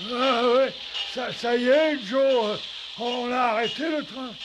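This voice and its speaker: A man uses a put-on character voice at an extremely high pitch, speaking at a fairly slow pace over loud background noise. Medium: fan dub. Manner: slow, simple-minded.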